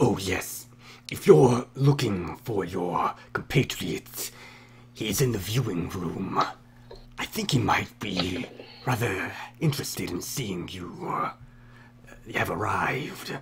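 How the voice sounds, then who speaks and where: Man in a put-on character voice, fairly low in pitch, with lively intonation, long, frequent pauses and clear background noise. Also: fairly slow pace. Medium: actual play. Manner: formal, polite.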